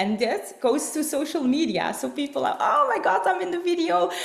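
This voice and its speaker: In a Flemish Belgian accent, a woman talks at a moderate pace, with audible room echo and noticeable background noise. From Belgium. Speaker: network marketing distributor and presenter. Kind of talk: online business presentation. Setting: online video call. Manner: halting, many fillers.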